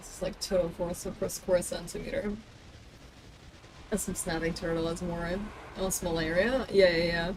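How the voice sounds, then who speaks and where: With noticeable background noise, a woman speaks at a moderate pace in a fairly low pitch, using fairly even intonation, big swings in loudness, and long, frequent pauses. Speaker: streamer. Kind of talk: casual chat. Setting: live stream.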